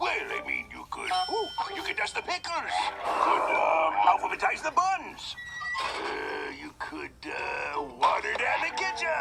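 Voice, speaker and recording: A man speaks in a cartoonish character voice at a fairly slow pace over loud background noise. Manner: gruff, blustery.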